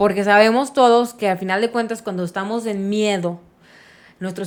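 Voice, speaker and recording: On a very clean recording with a silent background, a woman uses a normal speaking voice at a medium pitch, fairly quick, with fairly even intonation. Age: 30s. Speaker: podcast host. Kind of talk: casual chat.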